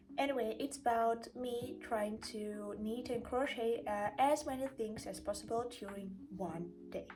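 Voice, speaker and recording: A woman speaks with a Russian accent. She talks at a fairly slow pace. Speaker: craft vlogger. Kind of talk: casual vlog. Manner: hesitant, with fillers.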